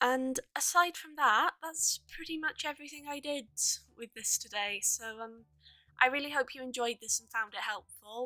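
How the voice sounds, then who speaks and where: A woman's raised, projected voice, high-pitched and bright and sharp in tone, at a moderate pace with ordinary pitch variation, big swings in loudness and a dry, close sound with no echo. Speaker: digital artist. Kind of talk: tutorial. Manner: halting, stammering.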